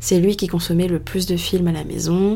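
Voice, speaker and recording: A dark, mellow tone meets monotone, flat intonation in this voice. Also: woman. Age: 20s. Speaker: podcast host. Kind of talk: solo monologue.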